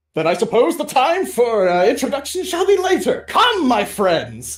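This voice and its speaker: Using a put-on character voice, a man speaks at an extremely high pitch with very wide pitch swings at a moderate pace. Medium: actual play. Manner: formal, grandiose, archaic phrasing.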